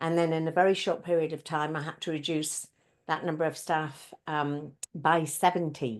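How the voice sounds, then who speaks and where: A woman with an English accent, very deep and low in pitch, fairly even in intonation, at a moderate pace over a quiet background. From UK. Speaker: speaker, facilitator and coach. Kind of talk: interview.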